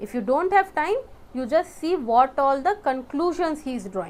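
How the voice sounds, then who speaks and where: A woman speaks in a high pitch. Her intonation is lively. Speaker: exam prep teacher. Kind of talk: lecture. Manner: fast.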